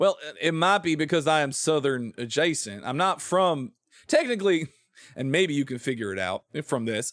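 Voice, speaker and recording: Recorded dry and close with no echo, a man with an unremarkable speaking voice and an American accent talks at a moderate pace with lively intonation. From US, upper South border region. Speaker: VTuber streamer. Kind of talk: live gaming stream chat. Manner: casual, chatty.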